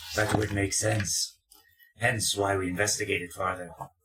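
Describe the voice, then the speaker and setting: Using a put-on character voice, a man talks at a moderate pace with monotone, flat intonation. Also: fairly low pitch for a man. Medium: actual play. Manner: evasive, calmly deceptive.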